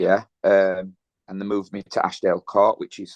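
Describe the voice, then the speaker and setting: Recorded with a dry, close sound and no echo, the speaker talks at a moderate pace with a Yorkshire accent. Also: man. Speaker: gym owner and kickboxer. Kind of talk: casual interview, personal testimony.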